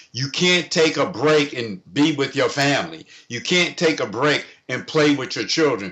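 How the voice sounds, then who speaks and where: A man talks at a moderate pace in a fairly high voice with vocal fry. His pitch varies in an ordinary way. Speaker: comedian and financial consultant. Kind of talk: interview. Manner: loud.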